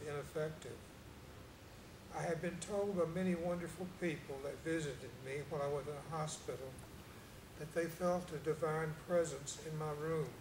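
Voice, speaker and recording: Amid noticeable background noise and audible room echo, a man speaks at a moderate pace in a fairly high pitch with fairly even intonation. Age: 60s. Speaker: cancer survivor. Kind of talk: testimony. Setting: church. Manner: quiet.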